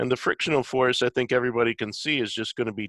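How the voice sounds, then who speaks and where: A man's bright, sharp tone at a medium pitch. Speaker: engineering professor. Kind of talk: lecture. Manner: halting.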